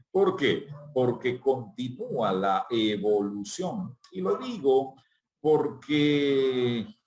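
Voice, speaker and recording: At a very slow pace, a man of medium pitch speaks with lively intonation. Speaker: journalist and announcer. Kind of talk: interview answer.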